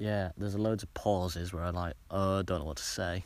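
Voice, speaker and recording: A man with a Cumbrian accent at a moderate pace, on a very clean recording with a silent background. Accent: Cumbrian northern English. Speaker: podcaster. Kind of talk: casual monologue. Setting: outdoors on a hilltop. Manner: halting, many filler sounds.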